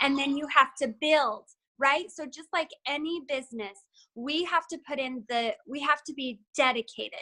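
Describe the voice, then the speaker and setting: Raised and projected, a woman's high, bright, sharp voice moves at a fairly slow pace with ordinary pitch variation. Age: 30s. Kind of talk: motivational talk.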